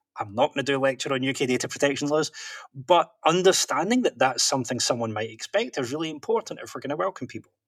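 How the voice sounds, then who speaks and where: A man with a Scottish accent talks very fast with lively intonation. The sound is dry and close, with no echo. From Scotland. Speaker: professional interpreter and author. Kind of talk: podcast interview.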